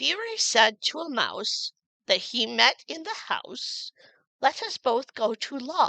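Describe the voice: Against quiet surroundings, a text is read aloud plainly.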